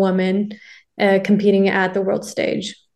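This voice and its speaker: A woman with a Canadian accent speaks at a medium pitch. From Canada (Ontario, Toronto area). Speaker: professional footballer. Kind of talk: interview.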